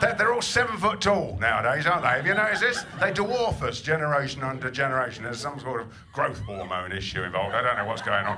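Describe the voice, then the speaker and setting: Amid audible room echo and noticeable background noise, a man with a fairly high voice makes very wide pitch swings. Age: 60s. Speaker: comedian. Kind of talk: stand-up. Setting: stage with audience. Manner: stammering repetitions.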